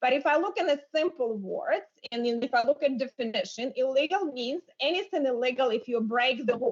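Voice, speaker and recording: A woman with a non-native accent and a high pitch for a woman, lively intonation, and a fairly quick pace with hardly any pauses. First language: not English. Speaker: congresswoman. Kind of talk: committee debate remarks.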